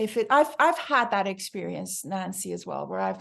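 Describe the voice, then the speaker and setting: Speaking with an American accent, a woman moves at a fairly quick pace. The background is quiet. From Iran. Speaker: book club organizer. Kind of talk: casual group discussion. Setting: video call.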